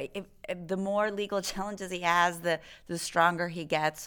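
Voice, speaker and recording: This is an unremarkable speaking voice with an American accent, moving at a fairly slow pace. The recording is very clean, with a silent background. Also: woman. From Texas. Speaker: dean of a public service school. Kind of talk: interview.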